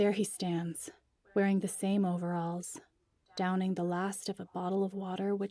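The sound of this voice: The clip features an unforced reading voice. Nothing else stands out.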